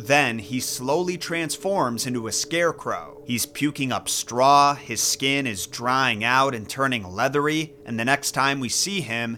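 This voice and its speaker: A man delivers lines in a theatrical, bright, sharp tone at medium pitch with ordinary pitch variation. His pace is fairly slow, yet he leaves hardly any pauses. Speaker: YouTube storyteller. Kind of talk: dramatic storytelling narration. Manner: hushed, suspenseful, building tension; measured, theatrical pacing.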